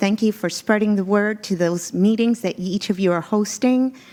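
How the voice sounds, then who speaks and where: A woman with a Spanish accent and a medium pitch. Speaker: executive search consultant. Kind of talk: formal presentation. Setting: board meeting. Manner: formal.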